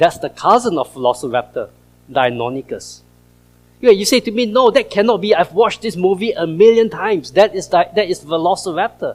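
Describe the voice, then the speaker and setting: Over music in the background, a man with an American accent talks at a fairly quick pace with lively intonation. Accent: Singaporean, noticeable to US audience. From Singapore. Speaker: creation science speaker. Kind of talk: presentation to church audience. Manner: animated.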